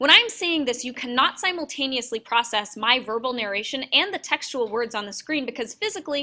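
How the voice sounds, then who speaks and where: A woman projects a raised, high voice with a bright, sharp tone. She talks at a fairly quick pace with lively intonation. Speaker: university workshop presenter. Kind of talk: workshop presentation. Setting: classroom with live audience. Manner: loud; animated.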